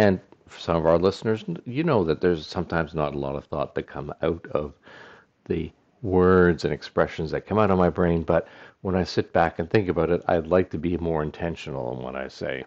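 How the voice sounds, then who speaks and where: A man speaks at a very deep, low pitch with vocal fry and ordinary pitch variation. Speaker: podcast host. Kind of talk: solo monologue. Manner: rambling, hesitant with fillers.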